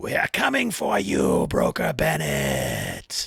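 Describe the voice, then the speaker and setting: In a put-on character voice, a man speaks very slowly, with a raspy sound and a very deep, low pitch. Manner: menacing.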